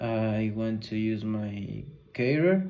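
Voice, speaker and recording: A man with a medium-pitched voice and a dark, mellow tone speaks amid audible room echo. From Ecuador. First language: Spanish. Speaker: university student learning English. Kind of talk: language practice conversation. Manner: halting, many filler sounds.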